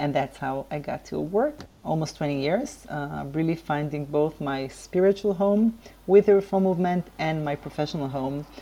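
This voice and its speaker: A woman with an Israeli accent speaks at a moderate pace in a very deep, low pitch with ordinary pitch variation. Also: hardly any pauses. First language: Hebrew. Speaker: civil rights lawyer and activist. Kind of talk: interview. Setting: remote call. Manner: hesitant, frequent fillers.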